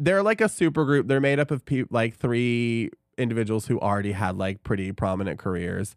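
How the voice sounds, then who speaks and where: A man with a normal speaking voice talks at a fairly quick pace and a medium pitch with lively intonation. The recording is very clean with a silent background and a dry, close sound with no echo. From Iowa, later Tennessee. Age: 40s. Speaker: podcast co-host. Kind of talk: casual chat. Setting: studio.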